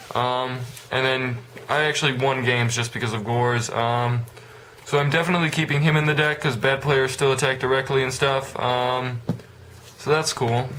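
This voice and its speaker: Amid noticeable background noise and audible room echo, a man talks at a moderate pace and medium pitch with monotone, flat intonation. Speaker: card game vlogger. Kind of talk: deck profile vlog. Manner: halting, many filler words; casual.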